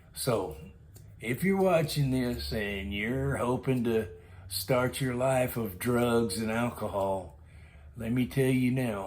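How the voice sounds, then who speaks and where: A man with an American accent at a very slow pace, medium in pitch, with lively intonation and audible room echo. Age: 60s. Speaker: storytelling vlogger. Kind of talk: casual monologue storytelling.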